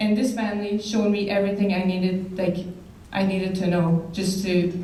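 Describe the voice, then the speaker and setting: With a Quebec accent and a medium pitch, a woman speaks at a fairly quick pace in monotone, flat intonation and very even loudness, with audible room echo and noticeable background noise. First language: French. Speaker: basketball player, hall of fame inductee. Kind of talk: acceptance speech. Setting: banquet hall with audience. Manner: halting.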